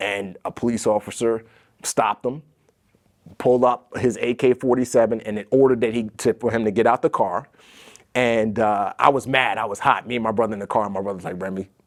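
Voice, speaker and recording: Speaking with an American accent at a fairly quick pace, a man uses fairly even intonation in a plain, everyday voice, recorded dry and close with no echo. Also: medium pitch for a man. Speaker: former Navy SEAL. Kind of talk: podcast interview.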